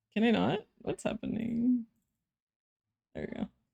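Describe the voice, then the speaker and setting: A woman's fairly high voice with vocal fry at a moderate pace. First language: Spanish. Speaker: vtuber streamer. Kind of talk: casual chat. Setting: live stream. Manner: casual, frequent fillers.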